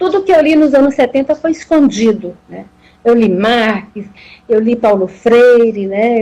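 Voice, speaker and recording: Her dark, mellow tone sits at a fairly high pitch as this woman speaks at a fairly slow pace with ordinary pitch variation. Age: 60s. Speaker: professor. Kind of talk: live talk. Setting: Instagram live video. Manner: halting, with repetitions.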